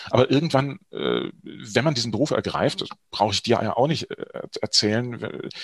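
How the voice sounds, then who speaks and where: With an ordinary speaking voice, a man talks at medium pitch and a moderate pace in a dry, close sound with no echo. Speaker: actor and voice-over artist. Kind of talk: interview. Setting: studio.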